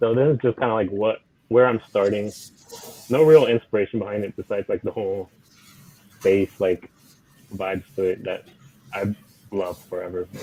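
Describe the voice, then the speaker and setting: Fairly quick when he talks, the man has a fairly low voice with ordinary pitch variation. Long pauses come often. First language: Spanish. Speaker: digital artist. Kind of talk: casual chat. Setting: live stream.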